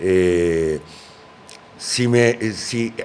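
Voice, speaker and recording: A man's pitch varies in an ordinary way while noticeable background noise plays behind him. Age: 60s. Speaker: politician. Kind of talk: interview. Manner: halting, many fillers.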